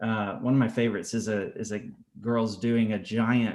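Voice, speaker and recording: A man's medium-pitched voice at a fairly slow pace. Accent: Southern US. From US South, Atlanta. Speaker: art teacher. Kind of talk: casual chat. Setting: video call.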